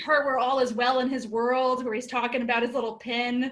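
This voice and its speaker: A woman with a raised, projected voice, high in pitch, bright and sharp in tone, at a fairly quick pace. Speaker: comedian. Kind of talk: stand-up. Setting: video call.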